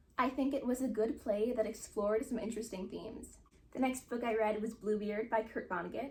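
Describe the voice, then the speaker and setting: A woman talks fairly quickly in a fairly high voice while noticeable noise fills the background. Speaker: book reviewer. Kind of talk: casual chat. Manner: fast.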